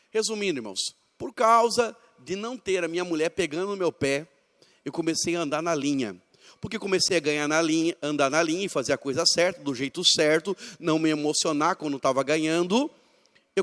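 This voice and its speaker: This man has a high pitch, ordinary pitch variation and an animated tone. The sound is dry and close, with no echo. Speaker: pastor. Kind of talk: church training seminar talk. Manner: fast.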